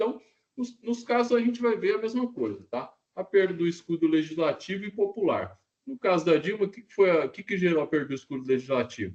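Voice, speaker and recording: A man speaks, his pitch rising and falling in very wide swings. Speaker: university professor. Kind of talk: lecture. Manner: fast; casual, conversational.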